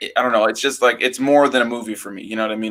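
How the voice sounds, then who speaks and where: A man's medium-pitched voice has a bright, sharp tone and monotone, flat intonation. The recording is very clean, with a silent background. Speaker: YouTube movie reviewer. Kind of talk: casual chat. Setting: live stream with guest. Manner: fast; stutters over words at times.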